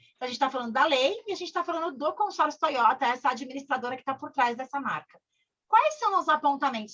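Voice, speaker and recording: A woman speaks at a high pitch in a bright, sharp tone. Her pitch swings very widely. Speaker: corporate trainer. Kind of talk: online training session. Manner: fast; animated.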